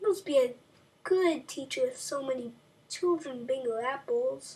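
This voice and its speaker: A woman performs a put-on character voice. It sits high in pitch and moves at a moderate pace. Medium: read story.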